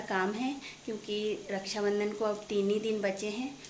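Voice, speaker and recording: Noticeable background noise and audible room echo surround a woman speaking at a medium pitch in a flat, monotone way. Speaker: family vlogger. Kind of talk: casual vlog narration.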